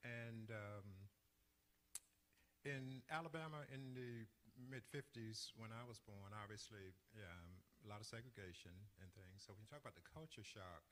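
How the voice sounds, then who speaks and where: Moving at a moderate pace, a man with a medium pitch and ordinary pitch variation leaves long, frequent pauses. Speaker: church deacon, interview host. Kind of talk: interview, telling life story. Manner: hesitant, many fillers.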